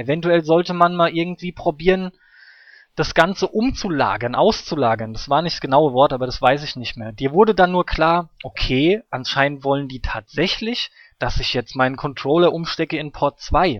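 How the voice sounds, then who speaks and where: A man talks at a moderate pace in an ordinary speaking voice with fairly high pitch. His loudness swings widely. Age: 30s. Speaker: gaming podcast host. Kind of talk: casual chat.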